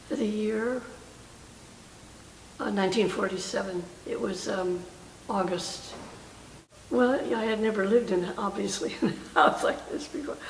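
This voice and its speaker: At a fairly slow pace with long, frequent pauses, a woman speaks at a medium pitch with ordinary pitch variation over noticeable background noise. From Oakland, California. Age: 80s+. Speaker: World War II army truck driver. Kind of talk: interview answer.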